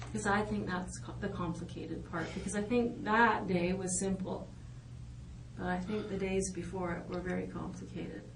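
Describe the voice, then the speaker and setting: Moderate-paced female speech amid noticeable background noise and audible room echo. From Netherlands. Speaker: police interrogator. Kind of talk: police interrogation. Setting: interview room. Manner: halting.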